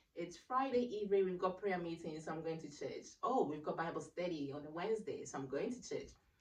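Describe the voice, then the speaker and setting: A woman's fairly low voice with lively intonation, a fairly quick pace and hardly any pauses, with audible room echo. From Ghana. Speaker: radiography graduate, church member. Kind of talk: casual interview chat.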